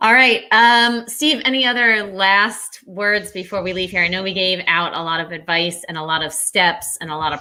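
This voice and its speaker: A woman speaks in a bright, sharp tone. The recording is very clean, with a silent background. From New England, Rhode Island. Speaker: podcast host. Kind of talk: interview. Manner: fast.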